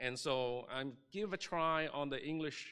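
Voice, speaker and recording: A man's bright, sharp voice with a Chinese accent. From Chinese-speaking region, moved to Canada at 13. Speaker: pastor. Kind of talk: sermon. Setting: church.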